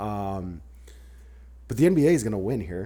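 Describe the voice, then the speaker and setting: A man's dark, mellow voice carries vocal fry. His pitch swings very widely. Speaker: podcast host. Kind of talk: casual sports-talk podcast chat. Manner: fearful of solo openings, stumbles on words.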